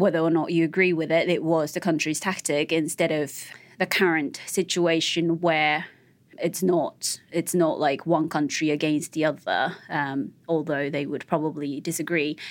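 A woman's very deep, low voice in a monotone, flat delivery at a moderate pace, on a very clean recording with a silent background. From Japan. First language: Japanese. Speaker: journalist. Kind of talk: interview.

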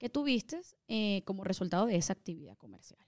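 A woman speaks at a fairly quick pace with very wide pitch swings and a dark, mellow tone, in a dry, close sound with no echo. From Venezuela, Caracas. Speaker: tax preparer. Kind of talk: explanatory interview answers.

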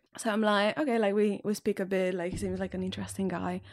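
Recorded very cleanly against a silent background, a woman with a Catalan accent talks at a fairly quick pace in a medium pitch. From Catalonia, Spain. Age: 20s. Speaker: single dating podcast guest. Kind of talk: casual interview.

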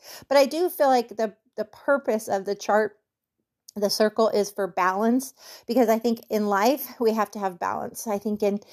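A woman with a plain, everyday voice speaks in a fairly high pitch. The recording is very clean, with a silent background. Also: dry, close sound with no echo. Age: 50s. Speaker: barrel racing coach. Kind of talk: coaching Q&A podcast.

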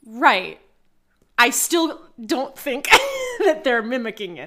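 A woman with a high pitch and a bright, sharp tone speaks very slowly, her intonation lively. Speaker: podcast co-host. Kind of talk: casual chat.

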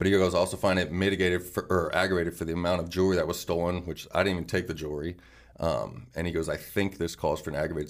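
A man with an American accent, very deep and low in pitch, monotone and flat, at a very fast pace. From Arizona. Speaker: former prisoner. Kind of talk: interview. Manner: casual.

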